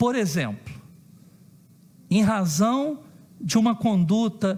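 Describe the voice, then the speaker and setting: A man speaks at a very slow pace with lively intonation. His tone is dark and mellow. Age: 50s. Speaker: council president. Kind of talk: public hearing statement. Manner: formal.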